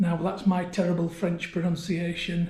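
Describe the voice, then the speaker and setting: In a Yorkshire accent, a man talks at a fairly slow pace with a high pitch. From Yorkshire, northern England. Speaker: travel vlogger. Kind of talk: tutorial. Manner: casual.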